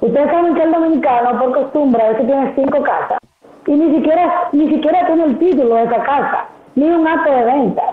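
A woman speaks at a moderate pace with ordinary pitch variation. There is audible room echo and light background noise. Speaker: guest. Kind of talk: interview answer. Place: home room.

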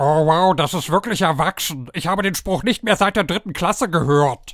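A man speaks in a cartoonish character voice. His pitch sits high. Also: moderate pace. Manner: sarcastic, then desperate pleading.

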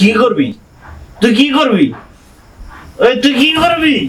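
A man's put-on character voice at an extremely high pitch, slow pace and big pitch swings, with audible room echo and faint music in the background.

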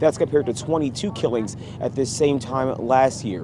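A man talks at a moderate pace with noticeable background noise, the sound dry with no echo. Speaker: TV news reporter. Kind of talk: live news report. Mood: serious, measured. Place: street.

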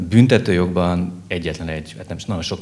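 Speaking at a fairly quick pace, a man uses a very deep, low pitch. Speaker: criminal court judge. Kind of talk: panel discussion, Q&A. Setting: live event with audience. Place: hall. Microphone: handheld.

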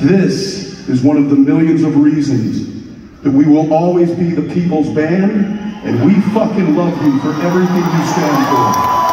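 Amid crowd noise and audible room echo, a man talks at a moderate pace with ordinary pitch variation. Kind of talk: reading a letter aloud on stage.

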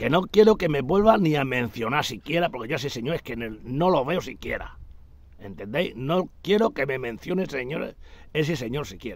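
At a moderate pace, a man talks in a fairly high voice with very wide pitch swings. The sound is dry, with no echo. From Extremadura, Spain (Garrovillas de Alconétar, Cáceres); Extremadura, Spain. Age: 60s. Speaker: retired hunter vlogger. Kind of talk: casual monologue. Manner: animated. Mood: indignant, complaining. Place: garden. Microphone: phone near.

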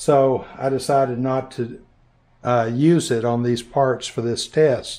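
This man's voice has a dark, mellow tone with ordinary pitch variation. The background is quiet. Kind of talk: casual vlog chat. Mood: upbeat, laughs. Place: workshop. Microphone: phone near.

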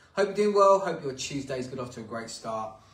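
The speaker is a man. There is audible room echo. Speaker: workout instructor. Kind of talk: workout instruction. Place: home room. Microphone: camera far.

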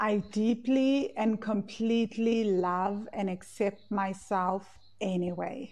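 A woman's calm, soothing voice at a very slow pace, with fairly even intonation. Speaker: course founder and money coach; coach leading live class. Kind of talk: guided EFT tapping meditation, leading students through statements. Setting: live class recording replay. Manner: calm, slow, soothing; instructive, repetitive phrasing. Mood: calm, affirming. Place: home room. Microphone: earbuds.

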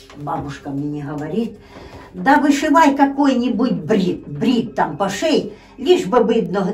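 A woman speaks at a very slow pace, her pitch swinging very widely. Faint music plays in the background. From Ukraine, Poltava region. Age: old. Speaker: grandmother telling her life story. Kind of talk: interview answer. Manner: casual, conversational. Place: home room. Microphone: phone near.

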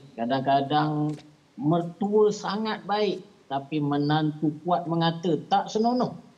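A man speaks very slowly in a dark, mellow tone. His intonation is lively. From Malaysia. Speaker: religious affairs officer; guest. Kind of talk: panel discussion. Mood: calm, advisory. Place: home room. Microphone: video call.

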